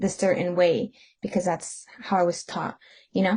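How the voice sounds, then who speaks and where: A plain, everyday voice from a woman at medium pitch. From US, Mexican-American. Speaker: student podcast co-host. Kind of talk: casual discussion.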